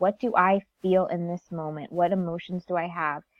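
A woman has a normal speaking voice with an American accent. She keeps a fairly even intonation. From US Northeast (Connecticut). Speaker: life coach and author. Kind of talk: interview.

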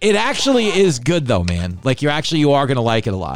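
Loud and very fast, a man talks at a medium pitch in a New York accent. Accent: New York, mook. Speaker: podcast host and TV writer. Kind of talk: casual comedic chat. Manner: loud, animated.

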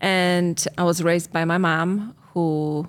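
In a very clean recording with a silent background, a woman with a Polish accent speaks at a fairly low pitch. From Poland. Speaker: relationship coach and podcast host. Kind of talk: casual chat.

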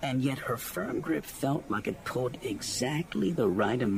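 Lively intonation in an unforced reading voice

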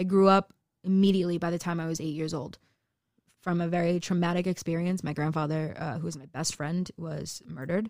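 A woman's normal speaking voice, fairly low in pitch, with fairly even intonation and a fairly quick pace. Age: 20s. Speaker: tarot reader and weight loss influencer. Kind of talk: casual chat.

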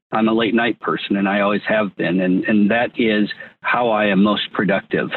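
An unremarkable speaking voice from a man with an American accent, medium in pitch, at a moderate pace. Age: 50s. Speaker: tech entrepreneur. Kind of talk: interview.

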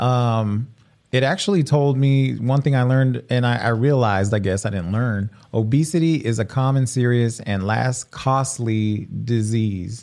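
At a fairly slow pace, a man with an unremarkable speaking voice talks at a medium pitch with ordinary pitch variation. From Mexican-American community, US. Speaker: podcast host. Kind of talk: casual chat. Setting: live stream studio.

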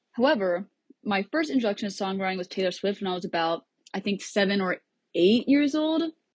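A somewhat breathy woman with an American accent, a fairly quick pace and very wide pitch swings. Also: medium pitch for a woman. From US Midwest, Cedar Rapids, Iowa. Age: 20s. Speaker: singer-songwriter and student. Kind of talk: podcast interview.

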